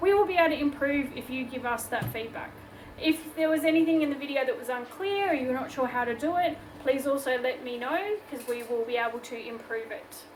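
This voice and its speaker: A woman with an Australian accent speaks at a moderate pace in a high pitch with ordinary pitch variation, against noticeable background noise. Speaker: craft tutorial host. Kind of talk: tutorial. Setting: home workshop. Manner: casual, chatty.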